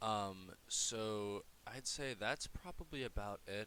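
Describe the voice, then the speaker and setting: A man's fairly low voice with a bright, sharp tone. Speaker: crypto podcast host. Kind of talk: solo podcast commentary. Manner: halting, many fillers.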